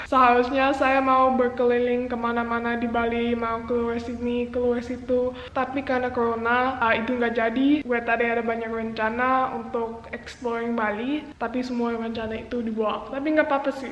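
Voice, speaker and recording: With audible room echo and noticeable background noise, a woman speaks at a moderate pace in a high, monotone, flat voice with hardly any pauses. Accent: English. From Jakarta, Indonesia (international school). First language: English (speaking Indonesian). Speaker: vlogger. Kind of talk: personal vlog monologue.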